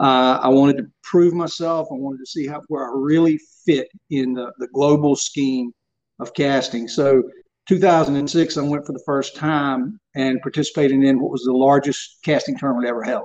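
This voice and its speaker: With a coastal North Carolina accent, a man talks at a moderate pace in a fairly high pitch. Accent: US Southern (coastal North Carolina). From Southeast North Carolina. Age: 50s. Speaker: surf casting expert. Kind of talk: interview.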